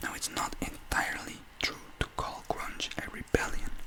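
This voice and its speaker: Over noticeable background noise comes whispering at a fairly slow pace. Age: young. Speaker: student presenter. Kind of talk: ASMR talk presentation. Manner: soft-spoken.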